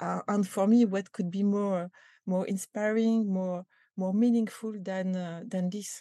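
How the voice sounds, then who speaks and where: With a French accent, a woman speaks at a fairly slow pace in a monotone, flat intonation. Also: medium pitch for a woman. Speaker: company culture executive. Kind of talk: interview. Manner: halting, many repetitions and fillers.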